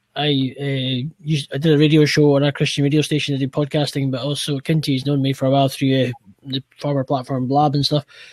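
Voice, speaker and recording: In a Scottish accent, a man talks at a very fast pace and fairly high pitch, with monotone, flat intonation and a dry, close sound with no echo. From Scotland. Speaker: podcaster and cleaning business owner. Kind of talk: casual chat. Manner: halting.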